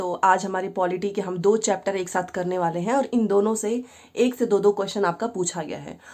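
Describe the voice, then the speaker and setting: A hoarse, put-on character voice at a very fast pace, fairly even in intonation, on a very clean recording with a silent background. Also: woman, medium pitch for a woman. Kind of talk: teacherly, Hinglish.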